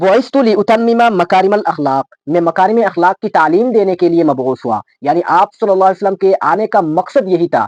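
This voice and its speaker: A man speaks in a high pitch with ordinary pitch variation. His loudness stays very even. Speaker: Islamic scholar giving a sermon. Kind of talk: Islamic sermon (bayan) in Urdu, mixing Arabic quotations. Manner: earnest, preaching.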